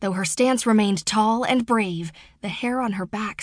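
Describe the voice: This is plain reading aloud, with pitch that moves about as much as usual.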